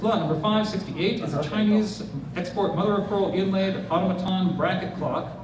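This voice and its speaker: Noticeable background noise and audible room echo surround a man with a high pitch and fairly even intonation. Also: fairly quick pace. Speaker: auctioneer. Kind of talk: live auction bidding call. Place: hall.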